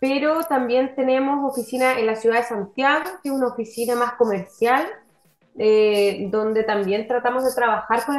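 Moderate pace, ordinary pitch variation, and a high pitch from a woman. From southern Chile (Valdivia). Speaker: marine biologist and tech company founder. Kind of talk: interview. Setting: video call.

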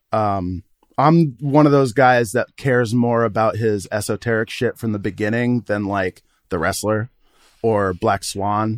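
A man with an unremarkable speaking voice talks at a medium pitch and fairly slow pace with ordinary pitch variation, recorded dry and close with no echo. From Vermont, US (Burlington). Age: 30s. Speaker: podcast co-host, film fan. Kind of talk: casual chat.

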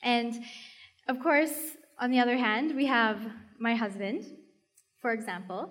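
Audible room echo surrounds a woman's high-pitched voice as she speaks at a fairly slow pace with ordinary pitch variation and long, frequent pauses. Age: 20s. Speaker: youth leader at church. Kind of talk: sermon.

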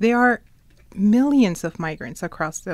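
A woman speaks in a normal speaking voice with an American accent. Her pace is moderate and her pitch varies in an ordinary way. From Ecuador, raised in the US. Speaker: immigrants' rights activist. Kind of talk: interview conversation.

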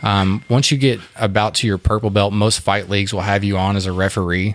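Speaking with a Texan accent, a man keeps his fairly low-pitched voice fairly even in intonation. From Fort Worth, Texas. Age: 30s. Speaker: whiskey distiller, jiu-jitsu fighter and combat veteran. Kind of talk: casual interview. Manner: halting, many fillers and restarts.

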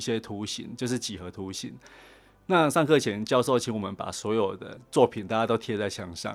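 A man with a normal speaking voice and fairly low pitch talks with ordinary pitch variation in a very clean recording with a silent background. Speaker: design director. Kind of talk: interview. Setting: studio.

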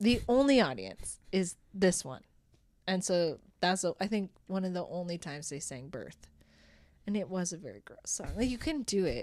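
A woman with an Albertan accent speaks at a moderate pace in a medium pitch, with lively intonation and big swings in loudness. The recording is very clean, with a silent background. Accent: Canadian (Alberta). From Alberta, Canada (Rocky Mountain House). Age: 30s. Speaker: improv theatre director and performer. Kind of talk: casual chat.

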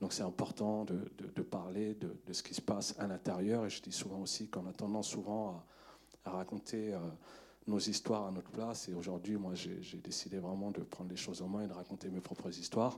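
A man talks at a fairly quick pace in a fairly low pitch. It is an unremarkable speaking voice. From Paris suburbs, Montfermeil. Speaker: film director. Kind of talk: post-screening Q&A.

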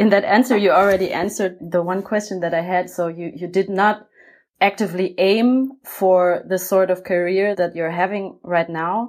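Fairly even intonation and a German accent mark this very clean recording with a silent background. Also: woman, medium pitch for a woman, moderate pace. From Germany. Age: 30s. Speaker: podcast host for a cultural funding program. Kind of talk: interview.

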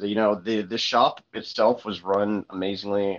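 A man with an ordinary speaking voice, fairly low in pitch, at a fairly slow pace. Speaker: card game player. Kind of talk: casual chat.

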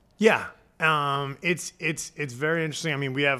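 Fairly high for a man and bright, sharp in tone, this man with a New Jersey accent speaks at a fairly quick pace. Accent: New Jersey American. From New Jersey, Point Pleasant (Jersey Shore). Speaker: chef and catering business founder. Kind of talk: casual interview chat. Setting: studio. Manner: animated.

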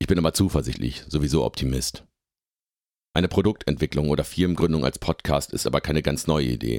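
In a dry, close recording with no echo, a man speaks fairly quickly with a very deep, low pitch, vocal fry and ordinary pitch variation. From northwestern Germany, Oldenburger Münsterland (Lower Saxony). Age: 30s. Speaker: software developer and podcaster. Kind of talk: scripted narration.

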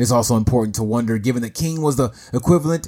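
Music plays behind the speaker. He is a man talking at a very fast pace. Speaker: podcast host. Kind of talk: solo podcast monologue, with a read-out newspaper report. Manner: measured, formal, solemn news-style reading in the 31:42 stretch; earnest, articulate, lecture-like.

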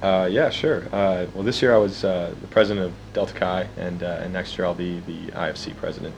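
A man with a very deep, low pitch, hardly any pauses, audible room echo and noticeable background noise. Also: ordinary pitch variation, moderate pace. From Alaska (Juneau). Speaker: undergraduate student leader. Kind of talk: interview. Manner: halting, many fillers.

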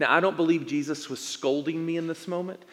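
With an American accent, a man is talking. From East Tennessee. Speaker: pastor. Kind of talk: sermon. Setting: church.

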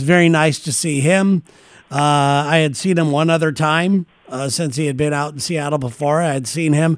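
A man with a normal speaking voice talks at a moderate pace, his fairly high pitch held in fairly even intonation. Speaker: podcast host. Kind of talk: casual chat.

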